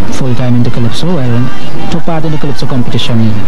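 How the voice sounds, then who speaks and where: Music plays in the background while a man talks at a fairly quick pace in a dry sound with no echo. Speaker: interviewee. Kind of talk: interview answer. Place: garden. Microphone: handheld.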